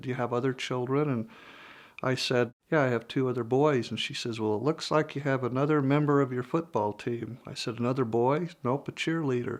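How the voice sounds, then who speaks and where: A man with an ordinary speaking voice talks at a moderate pace and medium pitch against a quiet background. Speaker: interviewee, father with microtia. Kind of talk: personal interview testimony.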